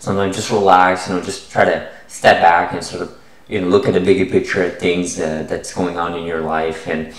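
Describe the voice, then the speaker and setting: Audible room echo surrounds a man with a very deep, low pitch. He talks at a fairly quick pace with fairly even intonation. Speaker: science investing channel host. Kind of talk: casual vlog chat. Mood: relaxed, friendly. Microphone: webcam.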